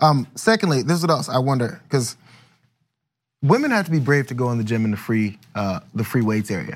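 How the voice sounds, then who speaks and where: A man with an unremarkable speaking voice talks at a fairly quick pace and medium pitch, his intonation lively. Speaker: podcast host. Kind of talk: casual chat.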